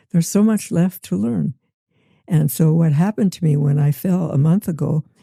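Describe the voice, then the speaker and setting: With an American accent, a woman talks at a moderate pace in a very deep, low pitch with ordinary pitch variation. Her somewhat breathy voice has a dark, mellow tone and a dry, close sound with no echo. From US Midwest. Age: 90s. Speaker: retired teacher. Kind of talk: interview answer.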